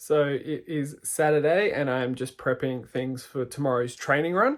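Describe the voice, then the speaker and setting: Moderate pace and ordinary pitch variation from a man at a medium pitch. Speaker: amateur ultramarathon runner vlogger. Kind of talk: casual vlog narration. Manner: relaxed, with fillers; quiet, hushed.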